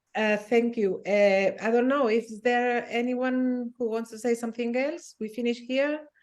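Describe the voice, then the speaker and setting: A woman's high voice in a non-native accent, fairly slow and fairly even in intonation, with hardly any pauses. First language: not English. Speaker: design lab organizer. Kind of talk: online meeting discussion.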